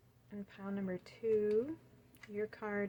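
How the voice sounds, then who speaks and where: A woman speaks at a fairly slow pace with a medium pitch, a dark, mellow tone and fairly even intonation. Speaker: tarot card reader. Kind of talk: pick-a-card reading. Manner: soft-spoken; hesitant. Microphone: has a mic but voice is quiet.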